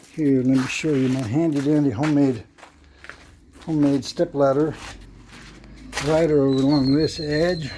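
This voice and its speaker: Against noticeable background noise, a man talks at a fairly high pitch with fairly even intonation. His loudness stays very even, and he leaves long, frequent pauses. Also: moderate pace. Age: 70s. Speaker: vlogger. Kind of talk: casual home-project vlog narration. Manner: casual, halting.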